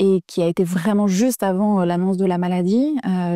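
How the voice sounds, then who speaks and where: Her tone is dark and mellow, at a medium pitch with fairly even intonation. The sound of this woman is dry and close, with no echo. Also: very clean recording, silent background. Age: 40s. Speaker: sculptor, artist. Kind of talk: interview testimony. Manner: halting, many hesitations.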